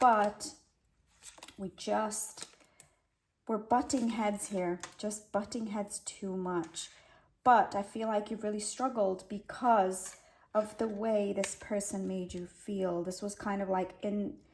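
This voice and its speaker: A woman speaks very slowly in a somewhat breathy voice. Her pitch is medium and her intonation fairly even. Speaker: tarot reader. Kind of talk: tarot reading to camera. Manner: halting, self-correcting with fillers; casual, conversational.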